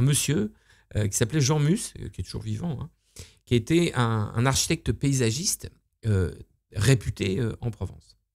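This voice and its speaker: A man's lively intonation at a moderate pace against a quiet background. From Normandy, France. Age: 50s. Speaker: entrepreneur, luxury hotel owner; interview guest, estate creator. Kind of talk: casual interview. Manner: halting, many fillers. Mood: relaxed, storytelling. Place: home room. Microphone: studio mic.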